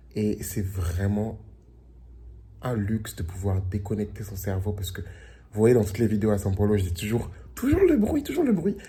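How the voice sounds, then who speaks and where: With audible room echo, a man speaks at a moderate pace in a fairly low pitch, his dark, mellow tone somewhat breathy and his intonation fairly even. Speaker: vlogger. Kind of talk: casual vlog. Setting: at home by the beach. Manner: casual with fillers.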